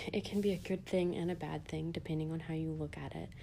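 Through audible room echo, a woman speaks at a fairly low pitch in a dark, mellow tone with monotone, flat intonation. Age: 20s. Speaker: podcast host. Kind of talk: casual solo monologue.

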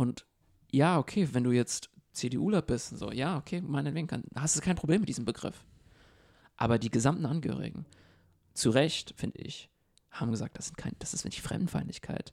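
A man with a fairly high pitch and vocal fry speaks at a fairly quick pace with lively intonation. Long, frequent pauses break up his speech. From abroad, immigrant to Germany. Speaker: podcast co-host. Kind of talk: casual discussion.

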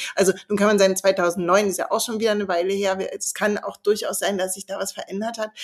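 At a very fast pace, a woman speaks in a flat monotone at a medium pitch. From East Berlin. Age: 40s. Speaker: author and columnist. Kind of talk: casual interview conversation.

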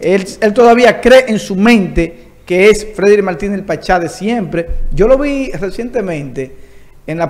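The man talks fairly slowly. Noticeable background noise comes through behind him. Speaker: entertainment show host. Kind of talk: interview.

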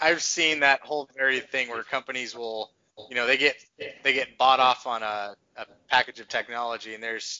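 The delivery moves at a fairly quick pace in a normal speaking voice. Intonation stays fairly even. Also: man. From Texas. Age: 30s. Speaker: podcast host. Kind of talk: casual chat.

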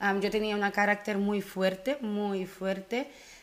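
This woman's voice sits at a medium pitch. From Curaçao, raised in the Netherlands. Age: 20s. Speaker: animator, podcast guest. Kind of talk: casual interview chat.

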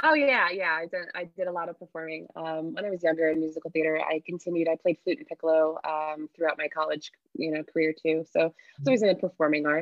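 Delivery is very fast, the intonation fairly even throughout. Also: woman. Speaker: arts alliance executive director. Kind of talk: panel discussion.

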